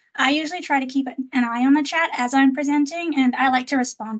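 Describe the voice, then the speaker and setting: Fairly quick and fairly even in intonation, a woman talks at a high pitch. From Trinidad. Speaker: professional association presenter. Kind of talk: webinar presentation. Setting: video call.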